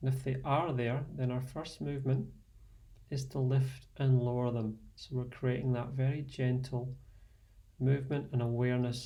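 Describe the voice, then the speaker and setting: A man speaks in a Scottish accent at a medium pitch and fairly slow pace. His dark, mellow tone is somewhat breathy, with monotone, flat intonation. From Scotland. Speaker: fitness and meditation instructor. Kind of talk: guided meditation. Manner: slow, soft-spoken.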